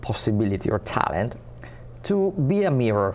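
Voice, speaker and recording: Over noticeable background noise, a man speaks in an Italian accent with very wide pitch swings. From Italy. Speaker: spiritual community ambassador and teacher. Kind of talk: interview. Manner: halting.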